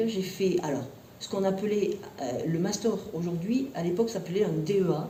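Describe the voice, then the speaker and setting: The room echo is audible as a woman speaks at a medium pitch. Her pace is moderate and her pitch varies in an ordinary way. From southwestern France, Tarbes. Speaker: university professor and researcher. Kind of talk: interview. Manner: hesitant, many fillers.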